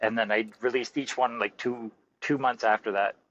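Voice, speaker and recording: A fairly quick pace from a man, his pitch medium. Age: 60s. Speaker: horror author. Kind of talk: interview. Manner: animated.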